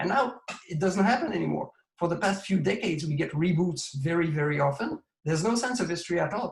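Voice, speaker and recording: A man's high voice in a Quebec accent, very fast with lively intonation. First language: French. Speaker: comics creator and collector. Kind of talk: interview.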